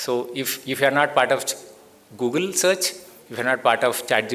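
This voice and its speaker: Fairly quick speech in a Telugu accent, ordinary pitch variation, noticeable background noise. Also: man. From India, Bellary, Karnataka. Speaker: tech company founder and CEO. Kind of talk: symposium talk. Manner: conversational, many fillers.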